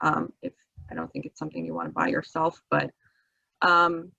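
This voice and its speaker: A woman with a non-native accent and a fairly low pitch speaks at a moderate pace in a bright, sharp tone with vocal fry, the sound dry and close with no echo. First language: not English. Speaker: architect, guest speaker teaching exam prep. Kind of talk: online study session lecture. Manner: hesitant, many fillers. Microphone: voice too quiet.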